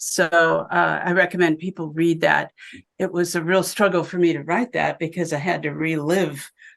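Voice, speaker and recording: Against a quiet background, a woman with an American accent speaks at a moderate pace with vocal fry. Her pitch is fairly low and her intonation monotone and flat. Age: 70s. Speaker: physician and abuse survivor. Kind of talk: interview testimony. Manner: halting.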